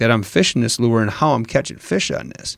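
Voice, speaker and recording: Here a man speaks with an Upper Midwest accent at a medium pitch. The recording is very clean, with a silent background. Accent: Wisconsin, Upper Midwest. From Wisconsin. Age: 30s. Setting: studio. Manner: animated, energetic.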